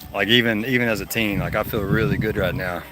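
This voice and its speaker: A man talks very fast in an American accent at a fairly low pitch. Noticeable background noise runs underneath. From Texas. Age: 40s. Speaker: live streamer. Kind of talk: casual chat. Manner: casual, conversational.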